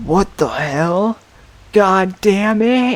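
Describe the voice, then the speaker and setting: A female-sounding voice at a medium pitch for a woman performs a put-on character voice. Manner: angry, startled shout.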